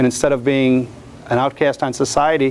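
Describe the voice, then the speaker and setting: A man with an American accent speaks at a fairly quick pace and a medium pitch, with noticeable background noise behind him. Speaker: portrait photographer. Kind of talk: lecture. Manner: loud.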